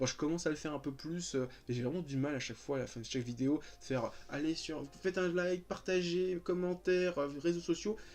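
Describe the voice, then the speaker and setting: Fairly quick speech over music in the background. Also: man, fairly high pitch for a man, ordinary pitch variation. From France, Paris region (Val-de-Marne). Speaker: YouTuber. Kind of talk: casual chat. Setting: sitting on his bed at home. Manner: calm; hesitant, many fillers.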